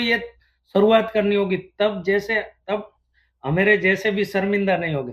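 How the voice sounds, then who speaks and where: The pitch variation is ordinary. The speaker is a man with a high voice. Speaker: businessman and sourcing agent in China. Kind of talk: casual interview conversation.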